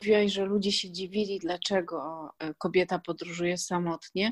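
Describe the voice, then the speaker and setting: A woman talks at a moderate pace in a normal speaking voice, with a dry, close sound with no echo on a very clean recording with a silent background. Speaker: podcast host and blogger. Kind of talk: casual interview.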